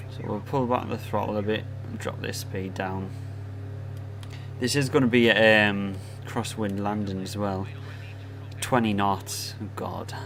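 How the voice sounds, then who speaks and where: Over music in the background and with audible room echo, a man with a northeast English accent and fairly low pitch speaks slowly in a monotone, flat delivery with long, frequent pauses. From northern England, Sunderland area. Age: 20s. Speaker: gaming streamer. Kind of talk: live stream commentary. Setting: live stream. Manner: casual.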